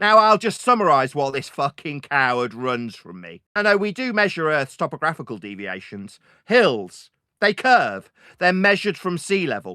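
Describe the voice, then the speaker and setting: A man's bright, sharp voice with a British accent, fairly high in pitch and moderate in pace, with very wide pitch swings and big swings in loudness, on a very clean recording with a silent background. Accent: British, easy to understand. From Britain. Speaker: flat earth debater. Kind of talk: heated debate. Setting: voice chat server. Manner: animated.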